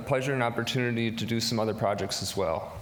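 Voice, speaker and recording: There is audible room echo along with noticeable background noise. A man with an American accent speaks at medium pitch with fairly even intonation. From US Midwest, Wisconsin. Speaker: entrepreneur, marine electrician. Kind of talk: business pitch.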